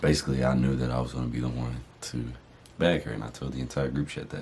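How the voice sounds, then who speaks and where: Over noticeable background noise, a man with a very deep, low pitch speaks at a very fast pace in a monotone, flat intonation. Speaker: YouTuber, married couple channel. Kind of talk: casual chat.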